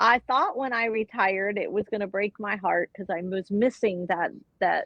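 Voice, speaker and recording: Speaking in an ordinary speaking voice with an American accent, a woman holds a medium pitch. Her intonation stays fairly even at a moderate pace. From Florida. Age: 60s. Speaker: retired nurse. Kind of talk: interview. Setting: live online show.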